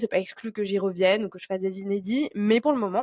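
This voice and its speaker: This woman talks at a very fast pace. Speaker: podcast host and career transition coach. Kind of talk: solo podcast monologue. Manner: casual, with frequent hesitations.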